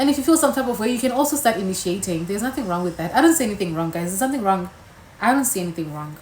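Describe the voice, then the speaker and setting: Over noticeable background noise, a woman talks very fast. Her medium pitch swings very widely. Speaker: YouTuber. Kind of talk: casual chat. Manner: animated.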